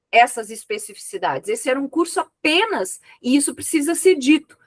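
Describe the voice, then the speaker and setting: With very wide pitch swings at a high pitch, a woman talks at a moderate pace in a dry, close sound with no echo. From Brazil, rural interior. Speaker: thesis examiner, professor. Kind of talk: academic feedback.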